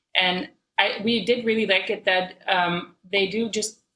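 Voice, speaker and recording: Here a woman speaks with a Dutch accent in a bright, sharp tone. Her pitch varies in an ordinary way. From Netherlands. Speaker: musician. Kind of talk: casual chat.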